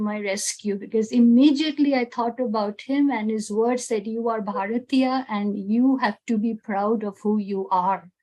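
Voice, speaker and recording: In an Indian accent, a woman speaks at a fairly high pitch and a fairly slow pace with fairly even intonation. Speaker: teacher, satsang moderator. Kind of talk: moderated panel sharing.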